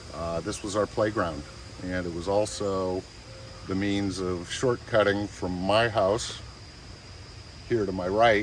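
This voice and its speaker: A man with an American accent speaks in a very deep, low voice, with audible room echo and noticeable background noise. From Oberlin, Ohio, US Midwest. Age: 60s. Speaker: local guide. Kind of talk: guided tour. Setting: outdoors.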